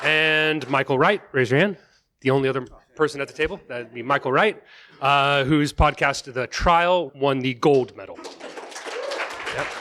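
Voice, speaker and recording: In an American accent, a man with a fairly high pitch and a bright, sharp tone speaks at a moderate pace with ordinary pitch variation and long, frequent pauses. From Texas. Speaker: podcasting lecturer and panel moderator. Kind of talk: live panel moderation. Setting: stage with audience at a summit.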